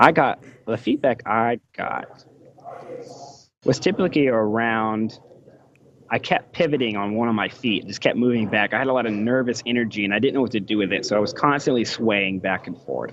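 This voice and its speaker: An ordinary speaking voice: a man with an American accent, medium pitch, moderate pace and ordinary pitch variation. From United States. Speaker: electrical engineer and author. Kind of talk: podcast interview.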